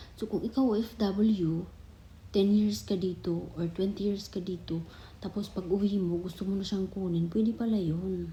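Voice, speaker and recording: Her voice is dark, mellow and somewhat breathy. The woman speaks fairly slowly at a medium pitch, with fairly even intonation. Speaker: vlogger and overseas Filipino worker. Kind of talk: casual explainer vlog. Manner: halting, with many fillers.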